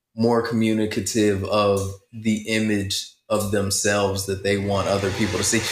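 With an American accent, this voice keeps a very even loudness, a moderate pace and a monotone, flat intonation, with audible room echo around it. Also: man, fairly low pitch for a man. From rural US Midwest and South. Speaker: podcast co-host. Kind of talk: casual chat.

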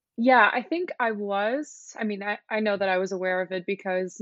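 With a Dutch accent, a woman speaks at a medium pitch and a moderate pace. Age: 20s. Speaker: fashion model. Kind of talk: casual interview.

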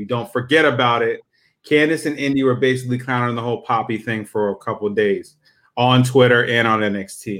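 Using a plain, everyday voice, a man speaks fairly quickly at medium pitch with fairly even intonation. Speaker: co-host, wrestling fan. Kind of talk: casual chat about wrestling.

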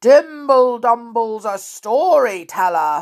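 A female-sounding, put-on character voice speaks at a very slow pace on a very clean recording with a silent background. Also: fairly high pitch for a woman. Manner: loud.

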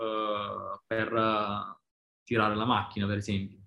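A man's very slow speech. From Basilicata, southern Italy. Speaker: design lead at a bank. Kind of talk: casual interview chat. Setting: video call. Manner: halting, many fillers.

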